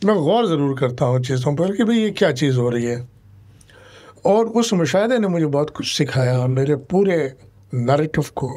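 A man's fairly high voice with a dark, mellow tone, lively intonation and a fairly slow pace over a quiet background. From India. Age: 70s. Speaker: political migrant, former election candidate; election candidate. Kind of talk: interview. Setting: studio. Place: studio. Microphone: studio mic.

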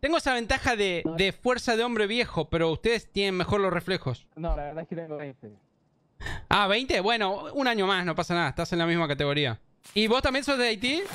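A man with a high voice and an Argentine accent speaks at a fairly quick pace in a bright, sharp, animated tone with lively intonation, dry sound with no echo and a quiet background. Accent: Argentine Spanish (Rioplatense). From Argentina. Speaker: gaming YouTuber. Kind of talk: casual gameplay commentary. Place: home room. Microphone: studio mic.

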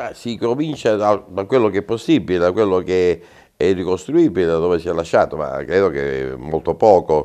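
A man with a very deep, low voice, a dark, mellow tone and vocal fry speaks at a moderate pace with lively intonation against a quiet background. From Calabria, Italy. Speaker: mayoral candidate, former mayor; candidate. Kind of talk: interview; interview answer. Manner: halting. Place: studio. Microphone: lapel.

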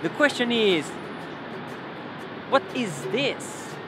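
Over clear background music, a man speaks at a very slow pace with a dry sound that has no echo. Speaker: travel vlogger, guide. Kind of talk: casual vlog chat. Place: street. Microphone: phone near.

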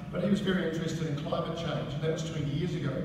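A man at a fairly high pitch, with ordinary pitch variation and clear background noise

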